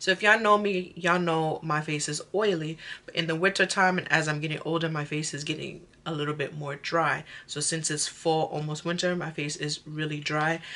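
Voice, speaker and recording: This woman's voice sits very deep and low, with a bright, sharp tone. She keeps a fairly quick pace and fairly even intonation. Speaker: beauty vlogger. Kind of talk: casual makeup tutorial chat. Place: home room. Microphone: phone near.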